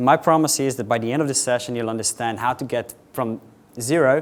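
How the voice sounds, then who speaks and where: A man with a Slovenian accent talks at a very fast pace, medium pitch, and ordinary pitch variation. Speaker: software architect, conference speaker. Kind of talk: conference tech talk. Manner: fast, rushed.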